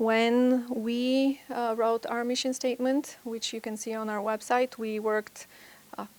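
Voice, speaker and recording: Moderate pace, monotone and flat intonation, and a non-native accent. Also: woman. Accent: foreign. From Bulgaria. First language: Bulgarian. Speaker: private school administrator. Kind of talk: conference talk.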